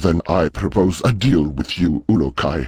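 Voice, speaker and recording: A man talks in a put-on character voice. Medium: video game. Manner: formal, stilted grammar.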